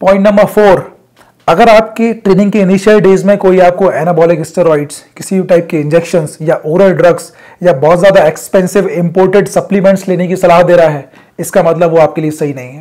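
High-pitched for a man, his tone dark and mellow, a man talks at a fairly quick pace with few pauses and fairly even intonation.

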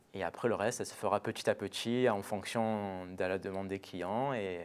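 Speaking at a rather slow speed, a man delivers his words. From Marseille, southern France. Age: young. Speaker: butcher; guest. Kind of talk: TV interview. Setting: TV studio. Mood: calm, relaxed, warm. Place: studio.

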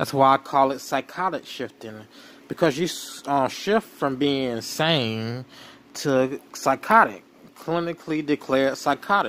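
A normal speaking voice from a man, fairly high-pitched for a man, at a fairly slow pace with ordinary pitch variation. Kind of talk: commentary talk to camera.

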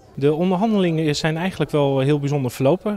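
A man with a plain, everyday voice talks at a fairly quick pace, his pitch fairly high with ordinary variation. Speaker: local news reporter. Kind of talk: news interview.

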